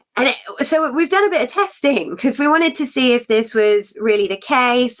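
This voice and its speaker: Speaking fairly quickly, a woman talks with a British accent. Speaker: talk show co-host. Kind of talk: live talk show discussion. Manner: loud.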